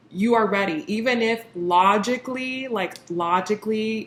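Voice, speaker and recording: A woman speaks over noticeable background noise. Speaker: tarot reader. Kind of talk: tarot reading monologue.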